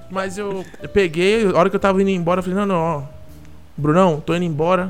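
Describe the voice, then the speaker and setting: Over music in the background, a man with a high pitch talks at a fairly quick pace with fairly even intonation and long, frequent pauses. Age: 20s. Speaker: advertising agency worker. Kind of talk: casual chat.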